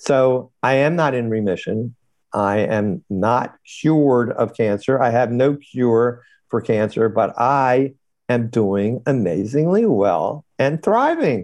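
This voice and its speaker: A man speaks at a medium pitch and a very slow pace, his loudness very even throughout. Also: ordinary pitch variation. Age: 70s. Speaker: periodontist and cancer patient. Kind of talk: interview.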